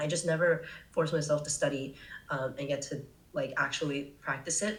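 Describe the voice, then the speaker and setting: With an American accent, a woman speaks at a very deep, low pitch with ordinary pitch variation. Noticeable background noise and audible room echo fill the recording. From US, California Bay Area. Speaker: travel content creator. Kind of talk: casual podcast interview. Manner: casual, filler-heavy.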